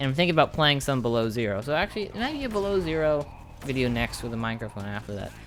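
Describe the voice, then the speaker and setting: A man's medium-pitched voice at a very fast pace, with music in the background. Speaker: gaming YouTuber. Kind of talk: casual chat to viewers. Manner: rambling, tangential; occasional stammer.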